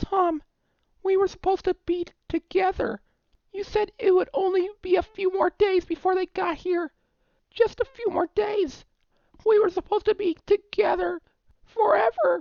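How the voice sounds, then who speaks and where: A man in a put-on character voice at an extremely high pitch, moderate pace, with long, frequent pauses. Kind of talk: horror story narration. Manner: mournful, distant.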